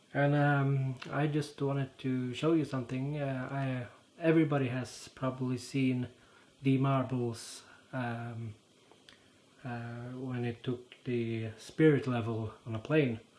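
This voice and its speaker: Very slow, monotone delivery with flat intonation, in a Norwegian accent. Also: man, medium pitch for a man. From Norway. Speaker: YouTuber. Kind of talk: casual explainer monologue. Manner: halting, many fillers.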